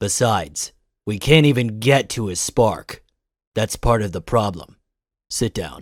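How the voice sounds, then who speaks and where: A man's put-on character voice at medium pitch, with long, frequent pauses, on a very clean recording with a silent background. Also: moderate pace. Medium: audio drama. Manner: clipped, cold.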